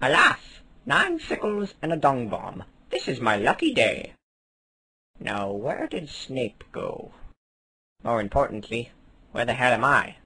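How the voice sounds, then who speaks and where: Using a cartoonish character voice at medium pitch, a man talks at a fairly slow pace with long, frequent pauses. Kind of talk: comic puppet sketch. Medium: puppet show. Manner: rambling, airy and absent-minded.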